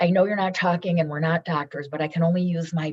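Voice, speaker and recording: A woman speaks at a very fast pace in an animated tone. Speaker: businesswoman and foundation founder. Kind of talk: podcast interview. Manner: loud.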